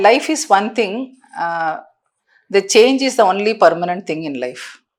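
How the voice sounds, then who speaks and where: This woman talks at a fairly slow pace and a medium pitch, with very wide pitch swings. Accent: Indian. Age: 60s. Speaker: counselor. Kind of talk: podcast interview answer.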